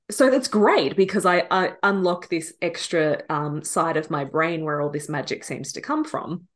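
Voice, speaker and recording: A woman with an Australian accent at a moderate pace, quiet background. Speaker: business and messaging coach. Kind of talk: casual interview conversation. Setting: remote call from Australia.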